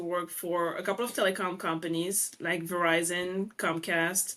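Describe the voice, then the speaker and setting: A woman's medium-pitched voice in a French accent, bright and sharp in tone. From France. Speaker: real estate investor. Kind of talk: interview.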